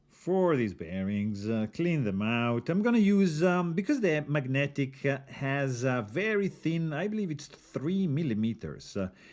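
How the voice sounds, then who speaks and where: Speaking with an Italian accent, a man has a fairly high pitch and very wide pitch swings. He goes at a fairly slow pace. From Italy. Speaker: knife reviewer. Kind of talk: tutorial. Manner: casual, halting with fillers.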